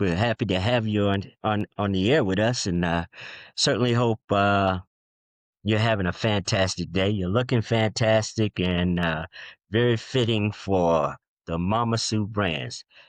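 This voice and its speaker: A man's normal speaking voice, fairly low in pitch with ordinary pitch variation, at a fairly slow pace and very even loudness, dry and close with no echo over a quiet background. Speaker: podcast host. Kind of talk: podcast interview questions. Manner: upbeat.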